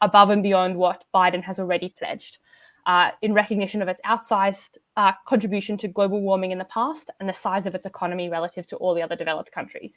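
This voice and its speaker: Speaking at a very fast pace with hardly any pauses, a woman with an Australian accent and a medium pitch is heard in a very clean recording with a silent background. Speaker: climate policy expert. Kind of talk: panel discussion.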